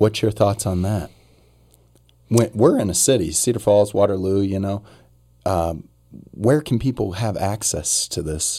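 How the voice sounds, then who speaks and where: A man with an American accent speaks in a fairly low pitch with ordinary pitch variation. His pace is fairly slow, with long, frequent pauses. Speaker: podcast host. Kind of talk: casual interview chat.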